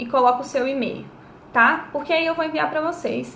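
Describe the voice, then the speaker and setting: Amid audible room echo and noticeable background noise, a woman with a high pitch speaks at a moderate pace with lively intonation. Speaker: life coach. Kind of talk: live-stream talk to viewers, advice. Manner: casual, chatty.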